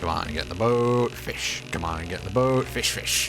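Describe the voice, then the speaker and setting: Over loud background noise, a man uses a put-on character voice. His pitch is very deep and low. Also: moderate pace. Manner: bad voice, comedic.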